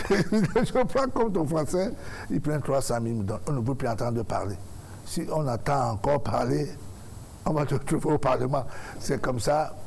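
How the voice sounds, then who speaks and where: The speech has lively intonation, broken by long, frequent pauses. Audible room echo surrounds it. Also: man, fairly high pitch for a man, moderate pace. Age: 50s. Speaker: musician and presidential candidate. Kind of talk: talk show interview.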